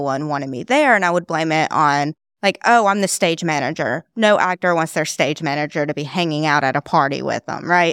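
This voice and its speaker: A woman's plain, everyday voice at a fairly quick pace, dry and close with no echo, on a very clean recording with a silent background. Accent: American. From US South. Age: 20s. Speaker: mental health content creator. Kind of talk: casual interview.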